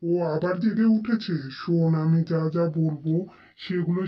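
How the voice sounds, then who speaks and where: A cartoonish character voice at a middle pitch moves along at a fairly slow pace. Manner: assured, commanding.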